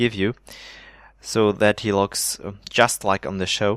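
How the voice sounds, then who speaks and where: A man with a German accent talks at a fairly slow pace, the sound dry and close with no echo, on a very clean recording with a silent background. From Germany. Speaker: Minecraft builder and video creator. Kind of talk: gameplay showcase commentary. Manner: hesitant, many fillers.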